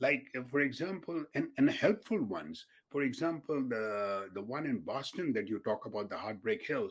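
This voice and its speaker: A man's fairly high pitch with very wide pitch swings, a moderate pace, and hardly any pauses. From India (Mumbai). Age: 70s. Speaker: physician and marathoner. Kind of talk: interview.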